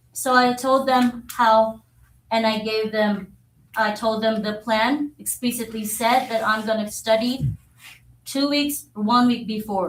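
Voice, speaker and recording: A woman talks with a fairly high pitch. Her pitch shifts in a normal way. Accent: Filipino. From Philippines. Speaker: social studies teacher. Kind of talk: public comment to school board. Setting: school board meeting.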